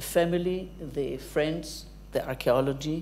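A woman speaks at a fairly slow pace in a very deep, low voice with vocal fry, over light background noise. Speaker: academic lecturer. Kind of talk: lecture. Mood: warm, lightly humorous. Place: hall.

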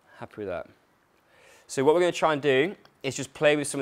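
Ordinary pitch variation runs through the man's speech. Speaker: fitness coach. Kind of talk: workshop instruction. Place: gym. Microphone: lapel.

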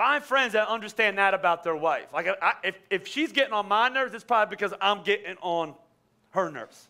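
Raising and projecting his voice, a man speaks fairly quickly at a high pitch with lively intonation and a bright, sharp tone. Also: quiet background. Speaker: pastor. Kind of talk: sermon. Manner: fast, stuttering. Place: church. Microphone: headset.

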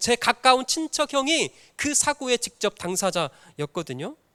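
Raised and projected, a man's bright, sharp voice swings very widely in pitch at a fairly slow pace, captured dry and close with no echo on a very clean recording with a silent background. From North Jeolla, South Korea (Jinan). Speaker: pastor. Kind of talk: sermon. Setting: church.

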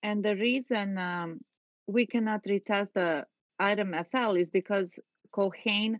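A woman with a non-native accent at a medium pitch and a fairly slow pace, with ordinary pitch variation, against a quiet background in a dry, close sound with no echo. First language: not English. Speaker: panel researcher. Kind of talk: casual discussion. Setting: online video call.

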